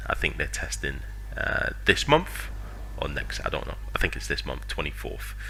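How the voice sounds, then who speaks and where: A man talks over noticeable background noise. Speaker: gaming youtuber. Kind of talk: casual commentary. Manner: hesitant, filler-heavy.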